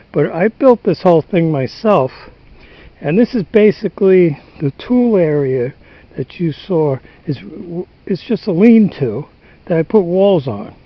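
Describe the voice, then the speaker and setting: A man with a high pitch and lively intonation talks at a fairly slow pace, leaving long, frequent pauses. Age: 70s. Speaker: DIY home repair vlogger, stone cutter. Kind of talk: casual how-to vlog. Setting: outdoors on a barn roof. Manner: halting, with fillers and restarts.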